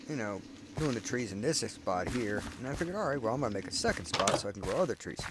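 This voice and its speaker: Noticeable background noise runs under a man speaking at a very fast pace and medium pitch. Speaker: gamer. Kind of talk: casual game base tour commentary.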